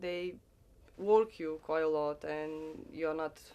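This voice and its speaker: A woman in a Romanian accent, fairly low in pitch, at a very slow pace. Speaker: farm worker. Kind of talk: interview.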